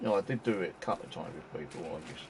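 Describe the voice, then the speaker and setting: Talking at a very fast pace, a man is heard through noticeable background noise. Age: 60s. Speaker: gaming streamer. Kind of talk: casual live-stream chat. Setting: home, live stream. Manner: halting, filler-heavy.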